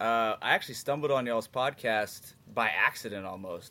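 Speaking at a moderate pace, this voice has a bright, sharp tone. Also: man. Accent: American. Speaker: author and English teacher. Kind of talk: casual chat.

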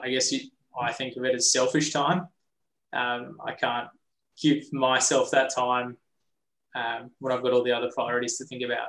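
A man speaks in an Australian accent with monotone, flat intonation. He leaves long, frequent pauses. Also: medium pitch for a man, moderate pace. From Australia, Coffs Harbour NSW. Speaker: lawyer and business partner. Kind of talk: casual interview chat.

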